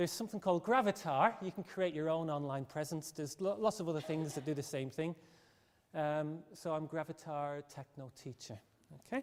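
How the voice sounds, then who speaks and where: At a fairly quick pace, a man talks at a fairly high pitch with ordinary pitch variation. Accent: Irish. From Ireland. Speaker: teacher. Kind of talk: presentation. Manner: fast.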